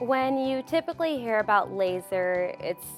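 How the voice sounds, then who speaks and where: With music playing behind her, a woman talks in a General American accent. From Phoenix, Arizona. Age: 20s. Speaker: hair loss patient. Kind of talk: testimonial interview answer.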